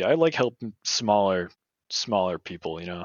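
This man has an ordinary speaking voice, fairly low in pitch, with an American accent, a moderate pace and ordinary pitch variation. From New Hampshire, US. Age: 20s. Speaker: graphic designer and hardcore musician. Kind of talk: casual chat.

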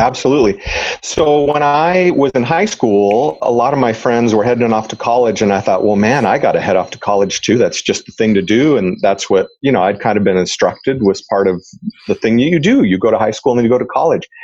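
A man with a normal speaking voice talks at a fairly quick pace, his medium pitch moving in lively intonation. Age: 50s. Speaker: retired police officer and real estate investor. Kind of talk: interview conversation.

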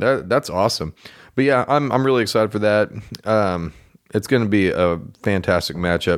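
A man with an American accent and a fairly low pitch speaks at a moderate pace with ordinary pitch variation, very even loudness and long, frequent pauses, on a very clean recording with a silent background. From Oklahoma. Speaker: sports podcast co-host. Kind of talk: casual chat.

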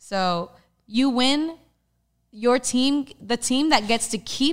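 A very slow American accent with ordinary pitch variation, in a very clean recording with a silent background. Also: woman. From Texas. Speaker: stuntwoman. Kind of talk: casual interview chat.

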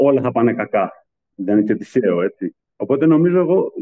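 The pitch of this man's voice swings very widely. He keeps a moderate pace. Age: 40s. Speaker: pastry chef. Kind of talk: interview testimony.

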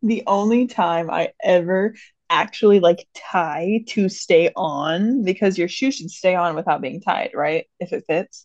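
Her pitch medium, a woman talks with ordinary pitch variation. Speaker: podcast co-host. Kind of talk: casual chat.

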